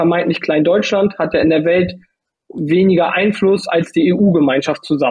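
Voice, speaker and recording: A man's high-pitched voice at a moderate pace, with very even loudness and ordinary pitch variation. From northern Germany, Lübeck. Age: 30s. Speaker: judo athlete. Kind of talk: interview.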